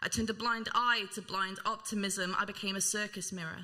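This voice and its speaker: A woman speaks at a moderate pace with a medium pitch. Noticeable background noise runs underneath. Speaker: spoken word poet. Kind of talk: spoken word performance.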